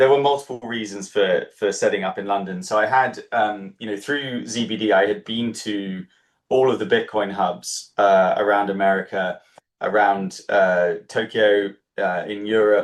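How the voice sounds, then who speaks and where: The speaker has a British accent and a moderate pace. Pitch variation is ordinary. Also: man, fairly low pitch for a man. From UK. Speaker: startup founder and incubator co-founder. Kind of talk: interview. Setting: livestream.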